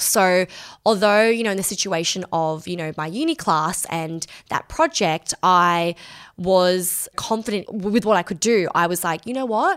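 At a moderate pace with few pauses, a woman with a fairly low pitch speaks with lively intonation and a fairly bright tone.

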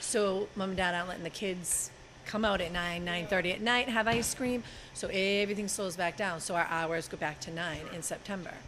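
A woman with an American accent talks at a fairly quick pace at medium pitch with ordinary pitch variation. She has a normal speaking voice. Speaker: ice cream shop owner. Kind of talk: interview. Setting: on location at an ice cream shop.

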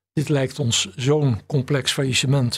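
Fairly even intonation marks this man's speech. His voice comes across as somewhat breathy. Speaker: bankruptcy lawyer and trustee. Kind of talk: interview.

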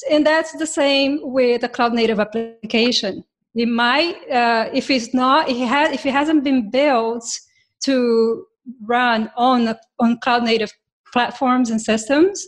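A woman with a non-native accent at a high pitch, very slow pace and ordinary pitch variation, music in the background. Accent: foreign-accented English. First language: not English. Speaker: software developer, podcast co-host. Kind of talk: casual tech panel chat.

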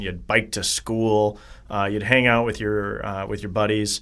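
Someone with a Wisconsin accent speaks at a moderate pace with fairly even intonation on a very clean recording with a silent background. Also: man. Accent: Upper Midwest (Wisconsin). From Wisconsin, Janesville. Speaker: congressional candidate, attorney. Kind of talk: interview.

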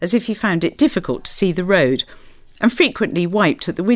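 This is reading aloud in a natural voice with ordinary pitch variation.

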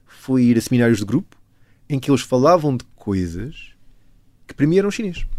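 Here is a man with an ordinary speaking voice at a medium pitch. He moves at a fairly quick pace with lively intonation. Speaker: chemist and pianist, author. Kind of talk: interview.

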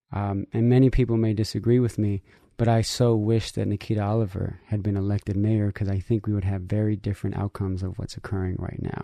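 Over a quiet background, a man with an American accent talks in a fairly low, dark, mellow tone, at a very fast pace with hardly any pauses and monotone, flat intonation. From San Francisco, US. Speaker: critical race theory instructor in medicine. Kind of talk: radio interview.

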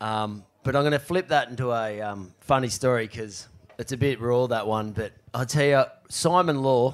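The speaker talks at a moderate pace with an Australian accent and ordinary pitch variation. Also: man, medium pitch for a man. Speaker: professional surfer. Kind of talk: live show storytelling. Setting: stage with audience.

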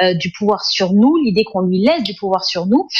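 A woman with a Parisian accent and very wide pitch swings, amid noticeable background noise. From France, Sarcelles (Paris suburbs). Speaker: essayist and journalist. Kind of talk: interview.

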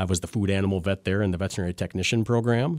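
Speaking with an Upper Midwest accent, a man has a fairly low pitch and ordinary pitch variation. The recording is very clean, with a silent background. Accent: Upper Midwest American. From Wisconsin, Lancaster (southwest). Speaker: veterinarian. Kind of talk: interview. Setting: studio. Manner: halting, many fillers.

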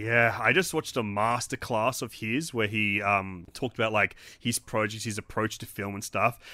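A man speaks with an Australian accent at a medium pitch and a moderate pace. His pitch varies in an ordinary way, and he hardly pauses at all. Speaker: film podcast host. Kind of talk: casual chat. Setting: video call.

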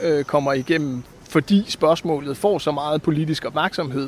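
A man with a fairly high pitch speaks with fairly even intonation, keeping a moderate pace. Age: 40s. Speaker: newspaper correspondent. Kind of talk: interview. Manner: halting, many fillers.

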